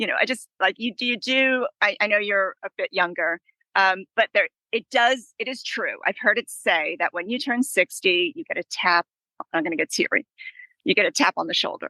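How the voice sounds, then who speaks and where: In an American accent, a woman talks at a moderate pace with lively intonation, a fairly high pitch and a bright, sharp tone, recorded with a dry, close sound and no echo. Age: 60s. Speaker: author and traveler. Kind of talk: casual chat.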